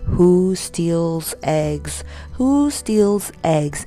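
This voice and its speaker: A put-on character voice plays over clear background music. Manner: solemn, stern.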